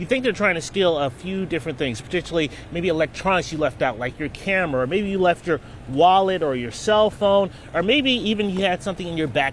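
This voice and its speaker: Against noticeable background noise, a high-pitched man speaks at a fairly quick pace with lively intonation. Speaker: news reporter and fill-in anchor. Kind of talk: TV news field report.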